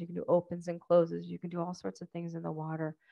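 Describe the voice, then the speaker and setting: With a quiet background, a woman speaks at a very fast pace and a fairly low pitch. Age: 40s. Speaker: physical therapist; presenter. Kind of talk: lecture. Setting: stage with audience. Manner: clear. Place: hall.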